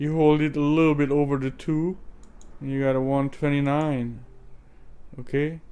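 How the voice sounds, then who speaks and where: A man with a non-native accent, fairly high in pitch, flat and monotone in intonation, at a fairly slow pace. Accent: foreign accent, self-noted. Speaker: crypto trading youtuber. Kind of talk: tutorial. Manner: casual, hesitant with fillers.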